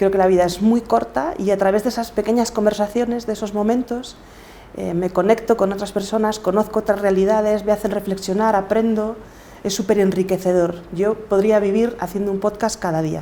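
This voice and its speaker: A woman with a Galician accent speaks at a fairly quick pace in a medium pitch, her intonation fairly even, with noticeable background noise. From Galicia, Spain. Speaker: podcaster and coach. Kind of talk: interview.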